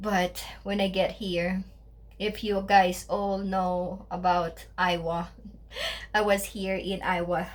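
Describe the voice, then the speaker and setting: With a Filipino accent, a woman speaks very slowly in a somewhat breathy, medium-pitched voice, her intonation monotone and flat, with audible room echo around her. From Philippines, Tondo, Manila. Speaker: vlogger. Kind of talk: casual vlog talk. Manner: halting, many fillers.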